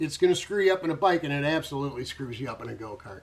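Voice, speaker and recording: A man talks very fast at a fairly high pitch. His intonation is lively. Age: 60s. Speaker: retired karting promoter and vlogger. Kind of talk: casual vlog monologue. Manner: halting, many fillers.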